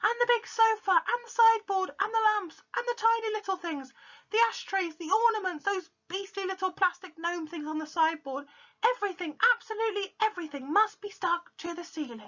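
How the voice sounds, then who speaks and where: Shouting in a squeaky, extremely high put-on character voice, the speaker moves at a fairly quick pace. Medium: read story. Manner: excited, bossy, shouting.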